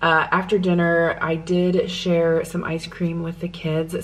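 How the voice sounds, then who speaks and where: Over noticeable background noise, a woman with an American accent speaks in a fairly low pitch. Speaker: lifestyle vlogger. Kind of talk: casual vlog talk to camera. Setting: at home. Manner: soft-spoken.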